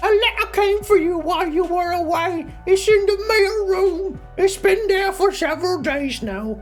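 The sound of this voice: A put-on character voice at an extremely high pitch, moderately paced, over clear background music.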